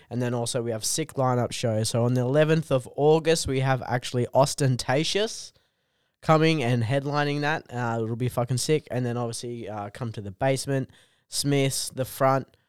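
In a very clean recording with a silent background, a man with an Australian accent speaks at a moderate pace, his medium pitch held in fairly even intonation. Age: 20s. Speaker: comedian. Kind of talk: casual chat.

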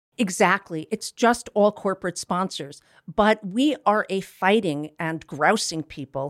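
A woman with an unremarkable speaking voice talks at a fairly slow pace and medium pitch with lively intonation, on a very clean recording with a silent background and a dry, close sound with no echo. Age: 60s. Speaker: LGBT health advocate. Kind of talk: interview. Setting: studio.

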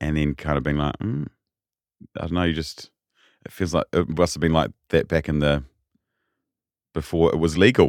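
In a New Zealand accent, a man speaks with a very deep, low pitch and fairly even intonation, leaving long, frequent pauses. The recording is very clean with a silent background. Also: moderate pace, dry, close sound with no echo. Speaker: political reporter. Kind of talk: casual interview chat.

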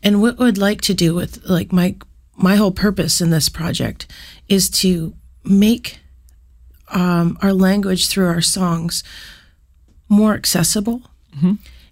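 A woman speaks fairly slowly at a medium pitch, somewhat breathy, with long, frequent pauses. The recording is very clean with a silent background. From Canada, southwest Yukon (First Nation community). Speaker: musician. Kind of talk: interview. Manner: casual, many fillers.

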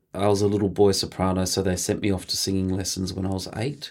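Very fast speech in an Australian accent with monotone, flat intonation, on a very clean recording with a silent background. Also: man. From regional Victoria, Australia (Mildura). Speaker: choreographer and dancer. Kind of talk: interview.

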